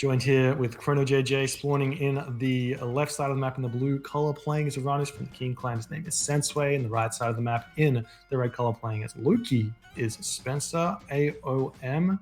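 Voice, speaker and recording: The speaker talks at a moderate pace. The voice is quiet. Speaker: game commentator. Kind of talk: live commentary. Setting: live stream. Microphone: too quiet on stream.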